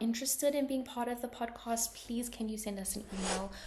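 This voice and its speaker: With a South African accent, a woman speaks in a fairly even intonation over noticeable background noise. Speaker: podcast host. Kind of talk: podcast introduction. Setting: remote recording.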